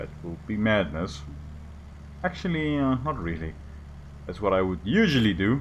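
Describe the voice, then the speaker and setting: Amid audible room echo, a man with a very deep, low voice speaks at a moderate pace with long, frequent pauses and very wide pitch swings. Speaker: gaming YouTuber. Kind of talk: gameplay commentary. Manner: casual, halting.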